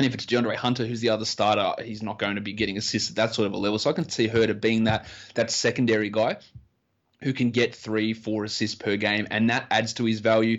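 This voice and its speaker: A very fast male voice at medium pitch, in an Australian accent with monotone, flat intonation. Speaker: fantasy basketball analyst. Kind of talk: casual interview chat.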